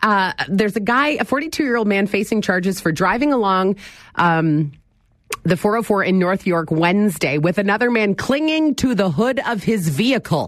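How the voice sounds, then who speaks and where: A woman with an ordinary speaking voice talks at a medium pitch, her intonation lively and her loudness very even. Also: moderate pace. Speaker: radio talk show host. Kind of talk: casual call-in radio talk. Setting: radio studio.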